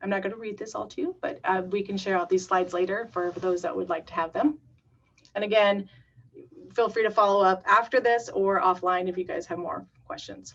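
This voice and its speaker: With an unremarkable speaking voice and ordinary pitch variation, the speaker moves at a fairly quick pace. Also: woman, medium pitch for a woman. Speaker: community paramedic program staff. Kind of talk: webinar presentation.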